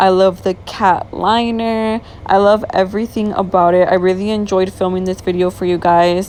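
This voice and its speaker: A woman speaks at a moderate pace in a medium pitch. Her intonation is fairly even, and there is noticeable background noise. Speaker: beauty vlogger. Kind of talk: tutorial. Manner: casual, chatty.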